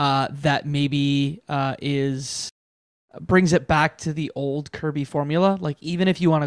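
A man with a normal speaking voice talks at a fairly high pitch, a moderate pace and with fairly even intonation. The recording is very clean, with a silent background and a dry, close sound with no echo. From Canada. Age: 30s. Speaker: video game podcast host. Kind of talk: casual chat.

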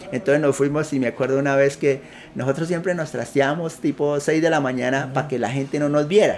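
With fairly even intonation, a man talks fairly quickly while noticeable background noise plays behind him. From Colombia, Putumayo. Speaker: entrepreneur. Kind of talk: interview. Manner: halting.

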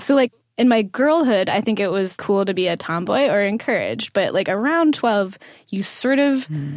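A woman has an ordinary speaking voice at medium pitch, with lively intonation. She talks at a fairly slow pace on a very clean recording with a silent background. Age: 30s. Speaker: radio producer. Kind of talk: casual conversation.

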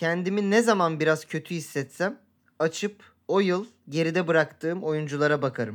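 The recording is very clean, with a silent background. A man speaks in a high pitch with ordinary pitch variation. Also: moderate pace. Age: 30s. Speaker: podcast co-host. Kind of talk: casual chat.

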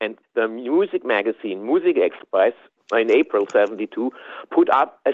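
With a German accent, a man is talking. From southwest Germany. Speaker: tape trader and fan. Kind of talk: interview recollection.

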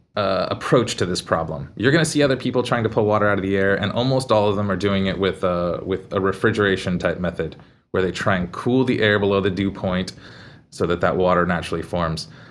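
A man speaks in a plain, everyday voice with a fairly low pitch. His pace is fairly quick, with ordinary pitch variation. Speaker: company CTO. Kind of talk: casual interview.

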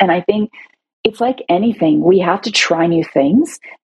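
A woman with a Canadian accent and vocal fry at a moderate pace. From Toronto, Canada. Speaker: CEO of a women's advocacy organization. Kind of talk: interview.

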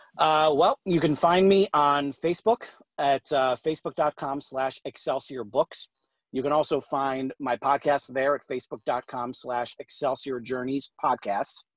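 A man with an American accent and a plain, everyday voice speaks at a fairly slow pace with fairly high pitch and ordinary pitch variation, in a very clean recording with a silent background and a dry, close sound with no echo. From New York. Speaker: fiction author. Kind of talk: interview.

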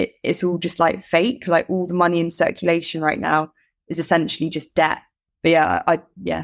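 Over a very clean recording with a silent background, a woman speaks at a fairly quick pace with fairly even intonation, vocal fry and a fairly low pitch. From Bahrain, Middle East (expat upbringing). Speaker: artist. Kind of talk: casual interview chat.

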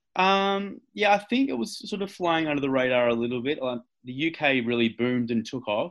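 Someone with an Australian accent speaks at a moderate pace with lively intonation. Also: man, medium pitch for a man, hardly any pauses. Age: 30s. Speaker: professional wrestler. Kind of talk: interview.

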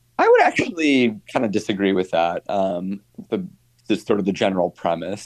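A man's fairly low-pitched voice at a moderate pace, a normal speaking voice, against a quiet background. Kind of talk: interview.

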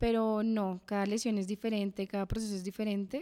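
This woman uses a normal speaking voice at a fairly high pitch. Her pace is moderate. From Bogotá, Colombia. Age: 20s. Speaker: judo athlete. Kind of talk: interview.

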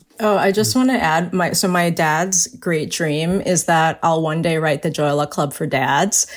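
At a fairly slow pace with hardly any pauses, a woman with a fairly low pitch speaks in a plain, everyday voice, keeping her loudness very even and her pitch variation ordinary. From US, Chinese-American family. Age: 40s. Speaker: novelist. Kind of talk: casual chat.

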